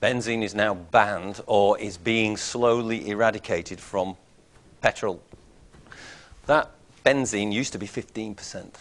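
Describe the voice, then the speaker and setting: A man speaks fairly slowly at a fairly low pitch, his intonation fairly even, his loudness swinging widely, with long, frequent pauses. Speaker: chemistry lecturer. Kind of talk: lecture.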